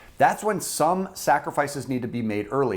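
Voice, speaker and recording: Loud and fairly quick, a man with an American accent speaks in a fairly high pitch with vocal fry. His pitch swings very widely, and the recording is very clean with a silent background. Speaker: personal finance YouTuber. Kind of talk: direct-to-camera explainer video. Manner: loud, fired-up.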